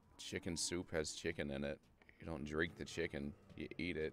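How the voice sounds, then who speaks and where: Faint music plays in the background under a monotone, flat delivery. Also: man, dry sound with no echo. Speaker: video game streamer. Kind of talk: gaming livestream chat. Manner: deliberately lowered pitch. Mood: joking, relaxed. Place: home room.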